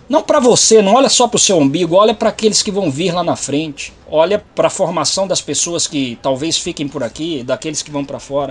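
Amid noticeable background noise, a man with a high pitch talks at a fairly quick pace with lively intonation and hardly any pauses. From Brazil, São Paulo state. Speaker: biomedical scientist. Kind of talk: interview.

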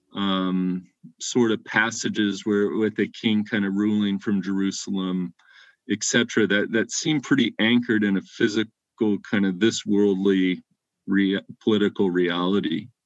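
A man talks at a moderate pace in an ordinary speaking voice. His pitch is fairly low and his intonation fairly even. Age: 40s. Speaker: biblical scholar. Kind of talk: casual chat.

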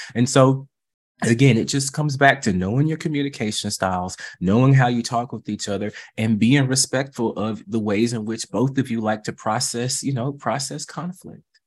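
A man with an American accent speaks in a normal speaking voice at a moderate pace and medium pitch, with ordinary pitch variation, on a very clean recording with a silent background. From US South. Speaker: therapist. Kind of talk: interview.

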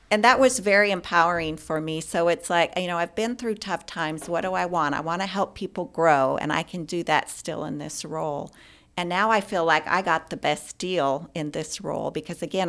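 Using an ordinary speaking voice, a woman speaks at a fairly low pitch and a moderate pace. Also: very clean recording, silent background. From US Pacific Northwest, Spokane, Washington. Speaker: healthcare executive. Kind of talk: interview.

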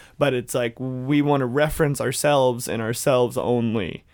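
An American-accented man in an ordinary speaking voice, medium in pitch with fairly even intonation, at a moderate pace in a very clean recording with a silent background. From US South, Dalton, Georgia. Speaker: pop musician. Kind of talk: casual interview chat.

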